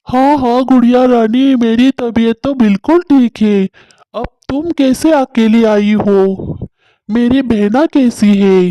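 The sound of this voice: This is a cartoonish character voice with a fairly high pitch. It moves at a fairly slow pace.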